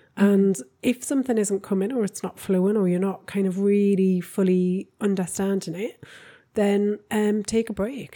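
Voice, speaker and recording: On a very clean recording with a silent background, a woman speaks with a Geordie accent at a medium pitch. Her dark, mellow tone moves at a fairly slow pace with fairly even intonation. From northern England (Newcastle). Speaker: podcast co-host, relationship coach. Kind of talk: casual chat.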